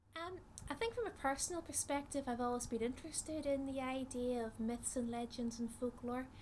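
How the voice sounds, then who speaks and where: A high-pitched woman with a Northern Irish accent, fairly even intonation and a fairly quick pace. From Northern Ireland. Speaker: psychologist, researcher. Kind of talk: interview talk, explanatory. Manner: hesitant with frequent fillers.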